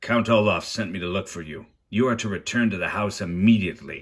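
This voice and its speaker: A croaky, put-on character voice from a man at a fairly quick pace, in a very clean recording with a silent background. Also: fairly low pitch for a man. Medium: read story. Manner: menacing.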